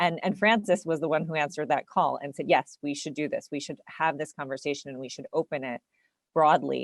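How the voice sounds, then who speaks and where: The voice swings widely in loudness and shows ordinary pitch variation, recorded with a dry, close sound and no echo. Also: woman, very deep, low pitch for a woman. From United States. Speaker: city network representative, webinar panelist. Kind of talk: webinar presentation. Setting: online webinar. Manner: hesitant, many fillers and repetitions.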